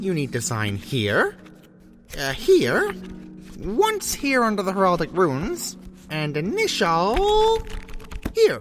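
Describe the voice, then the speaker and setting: Someone does a put-on character voice at a fairly slow pace, with clear music playing in the background. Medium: audio drama. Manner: fussy, officious, eager.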